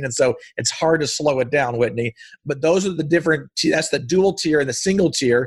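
Talking at a very fast pace, a man has a fairly high, somewhat breathy voice with ordinary pitch variation. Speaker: real estate investor and entrepreneur. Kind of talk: educational interview. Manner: animated.

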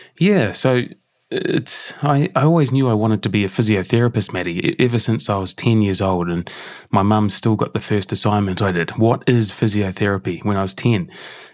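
A man with an ordinary speaking voice talks at a moderate pace in a fairly low pitch, with ordinary pitch variation. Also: very clean recording, silent background. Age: 40s. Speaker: breathwork and health performance consultant. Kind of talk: casual interview chat. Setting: in person recording.

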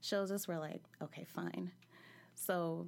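With a very clean recording and no background sound at all, a plain, everyday voice talks at a moderate speed. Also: woman. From California. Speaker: storyteller. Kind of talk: personal storytelling. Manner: casual, laughing.

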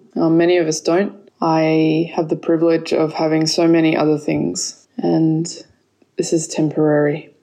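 A woman with an Australian accent speaks at a moderate pace in a very deep, low pitch and a dark, mellow tone. Her intonation is monotone and flat, and her loudness very even. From Australia, Sydney. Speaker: yoga teacher and kirtan leader. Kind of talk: recorded voice message; casual interview.

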